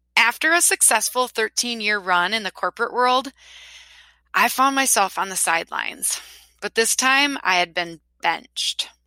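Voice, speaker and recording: A woman with a Wisconsin accent, a bright, sharp tone, ordinary pitch variation and a fairly slow pace, in a dry, close sound with no echo. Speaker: podcast host, school social media consultant. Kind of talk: podcast monologue. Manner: animated.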